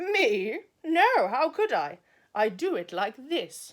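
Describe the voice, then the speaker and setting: Delivered very slowly, this put-on character voice sits high in pitch and swings very widely up and down. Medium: read story.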